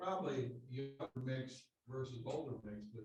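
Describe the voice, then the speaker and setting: A man speaks at a very slow pace. His medium-pitched voice is somewhat breathy. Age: 70s. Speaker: committee chair. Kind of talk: public meeting discussion. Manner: halting.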